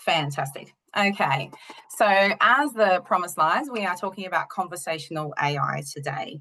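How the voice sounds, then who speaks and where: A woman with an Australian accent speaks at a fairly slow pace, her pitch fairly low. Her tone is bright and sharp, and her intonation is lively. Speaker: university lecturer and researcher. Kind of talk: webinar presentation. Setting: online webinar with screen share.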